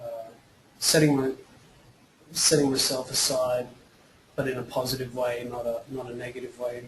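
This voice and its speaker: The speaker has an Australian accent and a monotone, flat delivery at a moderate pace, broken by long, frequent pauses. Noticeable background noise sits behind the voice. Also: man, medium pitch for a man. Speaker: actor and filmmaker with cystic fibrosis. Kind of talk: webinar interview. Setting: online webinar. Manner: halting, many repetitions and fillers.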